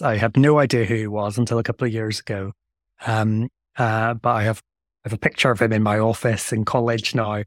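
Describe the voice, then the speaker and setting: With a Northern Irish accent, a man speaks at a fairly quick pace and medium pitch in a very clean recording with a silent background and a dry, close sound with no echo. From Northern Ireland. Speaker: theologian. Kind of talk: interview.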